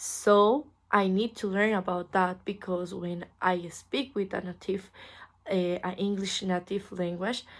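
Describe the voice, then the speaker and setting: Speaking fairly slowly with a Spanish accent, a woman keeps her intonation fairly even at a medium pitch. The background is quiet. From Costa Rica. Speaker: English language student. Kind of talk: class assignment interview. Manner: halting.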